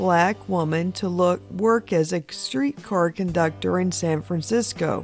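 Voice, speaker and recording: A woman talks fairly slowly with music playing behind her. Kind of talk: documentary narration.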